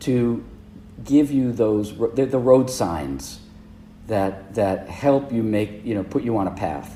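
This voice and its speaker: A man with an American accent speaks at a very slow pace. His fairly low voice has lively intonation. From US Northeast, Providence, Rhode Island. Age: 60s. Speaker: leadership consultant. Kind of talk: interview conversation. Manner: halting.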